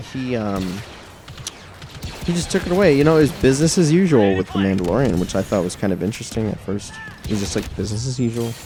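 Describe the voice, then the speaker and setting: Over noticeable background noise, a man races along at a very fast pace and medium pitch with very wide pitch swings. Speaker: gaming channel co-host. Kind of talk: casual chat while gaming. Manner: loud.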